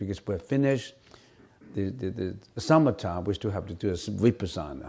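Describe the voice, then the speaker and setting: A man talks with a Cantonese accent. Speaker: Buddhist monk and teacher. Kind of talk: dharma Q&A lecture. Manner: halting, many repetitions.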